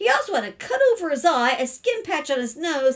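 Quiet surroundings and a woman talking at medium speed. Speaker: storyteller reading a children's book. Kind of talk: read-aloud storytelling. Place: home room. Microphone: webcam.

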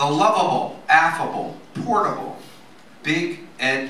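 Very slow speech from a man with a fairly high pitch and very wide pitch swings, over light background noise and audible room echo. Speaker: memorial speaker reading a poem. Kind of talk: poetry reading at a memorial. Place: cafe. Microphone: camera far.

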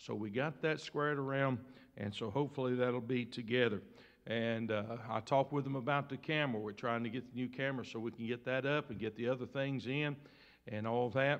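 Fairly quick speech from a man, with a quiet background. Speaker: pastor. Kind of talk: church announcements. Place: church. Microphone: podium.

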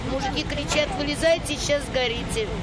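Over crowd noise in the background, a woman talks at a fairly quick pace, the sound dry with no echo. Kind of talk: interview answer. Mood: shaken, recounting rescue. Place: street. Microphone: handheld.

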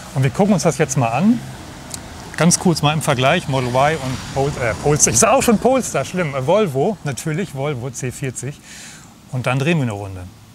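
Against light background noise, a man talks at a fairly quick pace in a dry sound with no echo. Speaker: channel host, car reviewer. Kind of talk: casual conversational car review. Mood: cheerful, relaxed. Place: street. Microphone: lapel.

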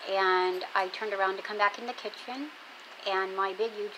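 This woman talks at a fairly slow pace with fairly even intonation and a strained voice. Noticeable background noise sits behind her. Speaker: home vlogger. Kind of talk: casual vlog chat. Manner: stiff, strained speech in neck brace. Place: home room. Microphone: earbuds.

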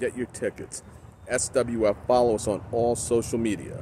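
A man's medium-pitched voice at a fairly slow pace, dry with no echo, over light background noise. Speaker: professional wrestling ring announcer. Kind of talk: casual talk to camera, promotional reflection. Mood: nostalgic, promotional. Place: open country. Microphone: phone near.

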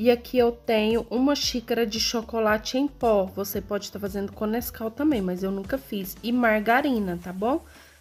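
With hardly any pauses, a woman talks at a moderate pace and with ordinary pitch variation. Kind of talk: cooking tutorial. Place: kitchen. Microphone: phone near.

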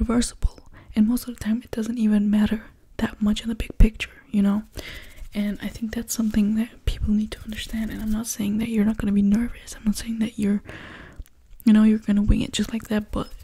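A woman talks at a fairly quick pace in a monotone with flat intonation. The background is quiet. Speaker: ASMR creator. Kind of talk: soft ASMR talk and chat. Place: home room. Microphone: studio mic.

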